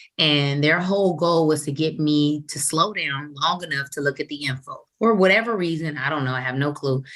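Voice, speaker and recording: The speaker is a woman with a very deep, low pitch. Her intonation shows ordinary pitch variation. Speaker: financial services trainer. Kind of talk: training webinar. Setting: group call. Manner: fast; animated.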